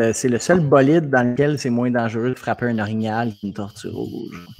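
A man talks at a moderate pace with hardly any pauses. His pitch is medium, with ordinary variation. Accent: Quebec. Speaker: comedian. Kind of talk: live comedy chat. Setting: video call live stream.

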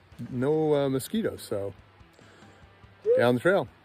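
Faint music plays in the background as a man talks at a fairly slow pace, the sound dry with no echo. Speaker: hiker vlogger. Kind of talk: casual vlog chat. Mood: cheerful, relaxed. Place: forest. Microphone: phone near.

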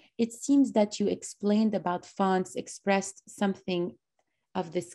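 In a quiet background, a woman speaks at a moderate pace with a medium pitch and a dark, mellow tone. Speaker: workshop host. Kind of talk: event moderation. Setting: video call. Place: home room. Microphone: video call.

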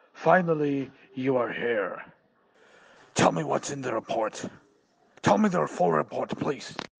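A man puts on a raspy character voice with very wide pitch swings. He goes at a moderate pace, with long, frequent pauses. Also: medium pitch for a man. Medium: audio drama. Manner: gloating, laughing.

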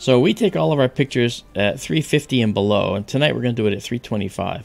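A man's voice with faint music in the background. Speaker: amateur astronomer host. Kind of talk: tutorial.

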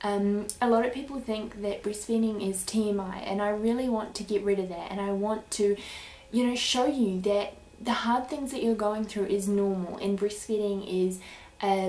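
In a New Zealand accent, a woman talks with fairly even intonation. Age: 20s. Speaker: YouTuber, breastfeeding mother; YouTuber. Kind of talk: vlog introduction. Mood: warm, earnest. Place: home room. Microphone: webcam.

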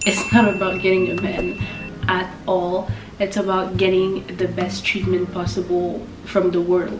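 Noticeable background noise around a woman's medium-pitched voice. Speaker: lifestyle YouTuber. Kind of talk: casual talk to camera. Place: home room.

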